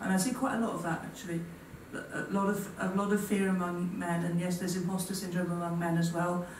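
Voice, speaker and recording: Very fast speech in a monotone, flat intonation, with audible room echo and light background noise. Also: woman, fairly low pitch for a woman. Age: 40s. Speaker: physics professor. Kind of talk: panel discussion. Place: hall.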